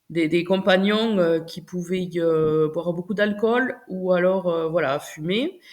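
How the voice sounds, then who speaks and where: A woman at a medium pitch and a very slow pace, on a very clean recording with a silent background. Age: 40s. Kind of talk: interview answer. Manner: enthusiastic.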